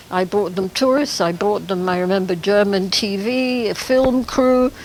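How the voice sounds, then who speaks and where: The woman talks fairly slowly in a medium pitch, her pitch varying in an ordinary way while noticeable background noise carries on behind her. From Kenya. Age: 80s+. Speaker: museum founder, former safari guide. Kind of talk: interview.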